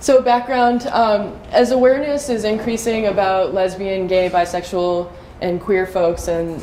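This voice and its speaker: A woman with an American accent speaks at a medium pitch and a fairly slow pace, with ordinary pitch variation and noticeable background noise. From US East Coast. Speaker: trainer. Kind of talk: training presentation.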